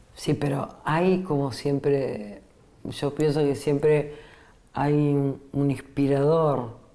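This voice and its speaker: A woman talks very slowly in a very deep, low voice with a dark, mellow tone. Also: fairly even intonation, very even loudness. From Italy. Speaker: radio host. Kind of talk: radio interview.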